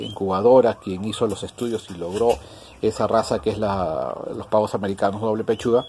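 A man with a normal speaking voice talks at a moderate pace and a fairly low pitch. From Peru, Ica. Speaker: poultry farmer and YouTuber. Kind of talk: tutorial; reading out viewer greetings. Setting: on a farm, walking around.

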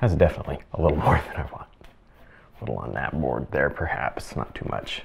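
With a very deep, low pitch, a man talks at a fairly quick pace using lively intonation. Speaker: painting instructor. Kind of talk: tutorial. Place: studio.

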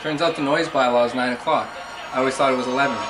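A man speaks with clear music in the background. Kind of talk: casual docu-series chat. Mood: annoyed, resigned. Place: home room. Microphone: phone near.

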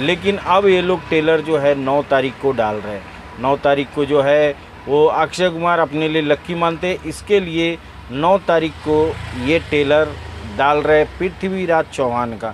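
Over light background noise, a man with a fairly high pitch and ordinary pitch variation speaks at a very slow pace, the sound dry with no echo. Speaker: auto-rickshaw driver. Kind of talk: casual talk to camera. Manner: excited. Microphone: phone near.

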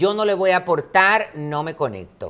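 A man with a Dominican accent speaks at a fairly slow pace in a voice that is high for a man. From Dominican Republic, Santo Domingo. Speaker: modeling school director and pageant trainer. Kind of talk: interview. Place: studio. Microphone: lapel.

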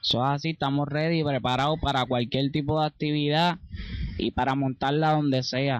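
A man speaks at a moderate pace. The sound is dry, with no echo. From Puerto Rico, Ponce. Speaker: reggaeton singer and songwriter. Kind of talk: interview. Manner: halting. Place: garden. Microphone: handheld.

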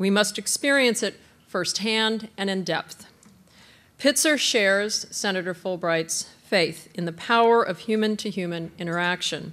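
This woman speaks at a moderate pace and medium pitch, with ordinary pitch variation. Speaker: college president. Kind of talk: welcome speech. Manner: formal. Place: hall. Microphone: podium.

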